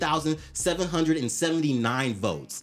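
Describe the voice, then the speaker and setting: Over background music, a man talks very fast at a fairly high pitch. His intonation is lively and his tone animated. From Atlanta. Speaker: podcast guest. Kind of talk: casual chat.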